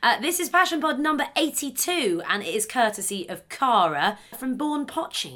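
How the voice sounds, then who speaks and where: Over noticeable background noise, a woman with a high pitch speaks in a raised, projected voice with very wide pitch swings. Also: moderate pace. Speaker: podcast host. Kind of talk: casual interview chat.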